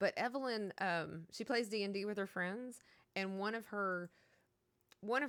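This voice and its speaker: With a Southern US accent, a woman speaks in a very clean recording with a silent background. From Kentucky. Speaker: video game streamer. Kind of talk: casual chat. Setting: live stream. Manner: animated.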